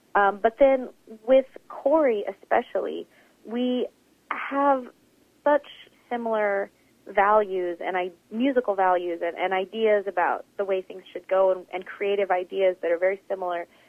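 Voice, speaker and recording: A woman with an American accent at medium pitch, moderate pace and long, frequent pauses. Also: ordinary pitch variation. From Oklahoma. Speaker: jazz pianist and vocalist. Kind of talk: interview.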